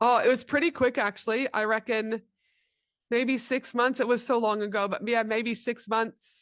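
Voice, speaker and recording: On a very clean recording with a silent background, a woman speaks at a fairly high pitch with fairly even intonation. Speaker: business mentor and speaker. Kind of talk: interview. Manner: fast.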